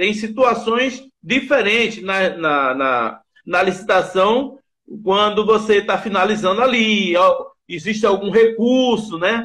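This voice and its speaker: A man's high-pitched voice at a very slow pace against a quiet background. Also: ordinary pitch variation. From Brazil, Pernambuco (Recife); Pernambuco, Brazil. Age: 50s. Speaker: bid analyst and teacher; bid analyst, teacher. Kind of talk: interview. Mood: upbeat, enthusiastic testimonial. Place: home room. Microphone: video call.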